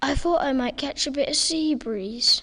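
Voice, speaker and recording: A put-on character voice with a high pitch delivers its lines at a moderate pace. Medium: audio drama.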